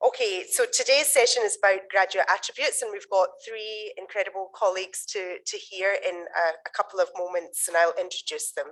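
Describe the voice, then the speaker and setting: A woman speaks in a Scottish accent at a medium pitch. She keeps a moderate pace with ordinary pitch variation. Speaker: conference session chair. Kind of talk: conference introduction.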